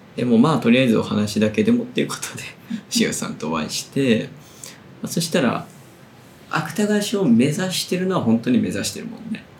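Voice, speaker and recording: Pitched fairly high, a man talks at a fairly quick pace with very wide pitch swings. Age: 30s. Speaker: literary magazine editor and podcast host. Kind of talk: casual chat.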